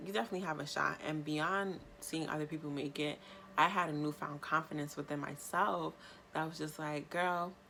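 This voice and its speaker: Spoken at a fairly quick pace in an animated tone with a New York accent, the voice comes through noticeable background noise. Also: woman, very deep, low pitch for a woman. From New York State. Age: 20s. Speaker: YouTuber. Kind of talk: vlog monologue.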